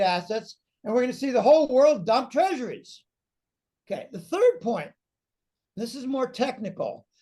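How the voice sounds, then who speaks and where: A man's extremely high-pitched voice, animated in tone, at a moderate pace. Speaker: financial analyst. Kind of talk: interview. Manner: animated, talking on a roll.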